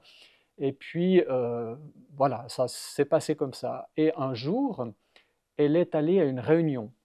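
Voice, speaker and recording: Very slowly and with big swings in loudness, a man with a fairly high voice and ordinary pitch variation speaks in a dry, close recording with no echo and a quiet background. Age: 60s. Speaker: churchgoer giving his faith story. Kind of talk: testimony. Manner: halting, many hesitations.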